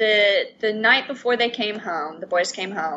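Against noticeable background noise, a woman speaks in an American accent. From US South, Atlanta. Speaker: stay-at-home mum of twins. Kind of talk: interview.

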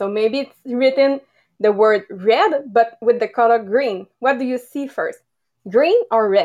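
Very slow and full of lively intonation, the voice carries a Quebec French accent. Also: woman. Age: 30s. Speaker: network marketer. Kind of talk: presentation on a live podcast. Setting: video call.

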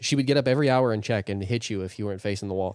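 A man with ordinary pitch variation on a very clean recording, the background silent. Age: 30s. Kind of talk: casual chat.

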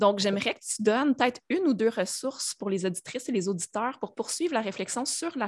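A woman with a Quebec accent, fairly high-pitched and fairly quick, with lively intonation, a dry, close sound with no echo, and a quiet background. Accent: Québécois French. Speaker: podcast host. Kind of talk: casual interview.

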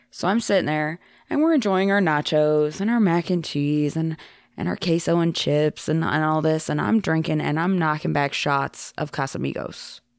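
In a slight Southern US accent, a woman with a very deep, low pitch talks at a moderate pace with ordinary pitch variation and very even loudness on a very clean recording with a silent background. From Iowa, US. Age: 30s. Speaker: former podcast host, returning guest. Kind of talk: casual chat.

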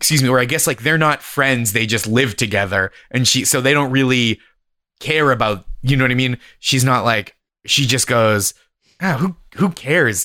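Speaking with an American accent, a man at medium pitch has a bright, sharp tone and very even loudness. He keeps a moderate pace, and the recording is very clean with a silent background. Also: ordinary pitch variation. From US, Boston area. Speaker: stand-up comedian. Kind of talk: casual chat.

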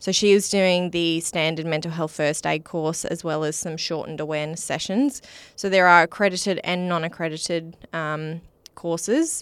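A woman with an Australian accent speaks at a moderate pace, fairly low in pitch and fairly even in intonation, in a very clean recording with a silent background. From Western Australia, Wheatbelt. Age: 30s. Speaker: mental health charity founder. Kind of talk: interview.

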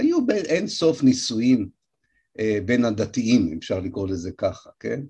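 A somewhat breathy man's voice of medium pitch and dark, mellow tone, over a quiet background. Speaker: historian lecturer. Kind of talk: lecture.

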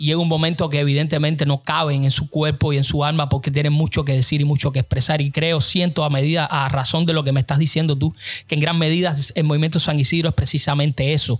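Noticeable background noise sits behind a man who talks very fast with hardly any pauses, at a fairly high pitch, in a flat monotone with very even loudness. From Cuba. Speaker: podcast host. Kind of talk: interview conversation.

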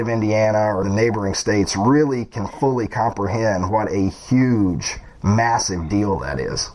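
Noticeable background noise runs under this recording. A man with a fairly low pitch speaks at a moderate pace with ordinary pitch variation. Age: 40s. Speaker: podcast host. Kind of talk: interview.

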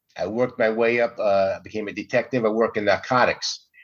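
A man with a normal speaking voice, medium pitch and an American accent, at a fairly quick pace against a quiet background. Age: 60s. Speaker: comedian. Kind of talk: casual chat.

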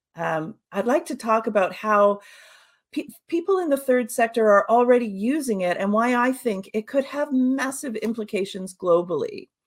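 A woman talks at a moderate pace with a Canadian accent, using an ordinary speaking voice. Her pitch is fairly high and her intonation is lively. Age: 50s. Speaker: social audio consultant. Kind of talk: webinar presentation. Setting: online webinar.

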